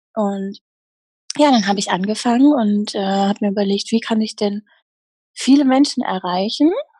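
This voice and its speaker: A woman's somewhat breathy, dark and mellow voice at medium pitch, with ordinary pitch variation, a moderate pace and long, frequent pauses. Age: 30s. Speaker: happiness coach. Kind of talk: interview. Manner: animated.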